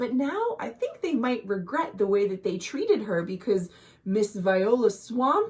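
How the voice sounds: The clip features a natural reading voice. That voice does the reading.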